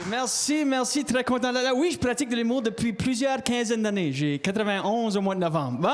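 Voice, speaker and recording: Over music in the background, a man talks at a fairly quick pace in an extremely high pitch, with lively intonation, very even loudness and hardly any pauses. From Acadian, Canada. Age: 80s+. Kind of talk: stand-up comedian. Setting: stage, comedy show.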